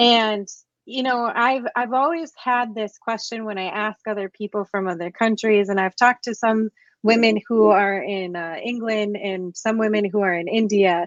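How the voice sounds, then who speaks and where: This is a plain, everyday voice from a woman at a moderate pace. Her pitch is fairly high, with ordinary pitch variation. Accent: American. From United States. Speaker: podcast host. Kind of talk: interview conversation.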